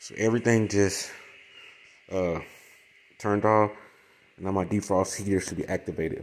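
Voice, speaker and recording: The speaker is a man. His pitch is fairly low. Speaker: appliance repair technician. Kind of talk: tutorial. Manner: fast; casual.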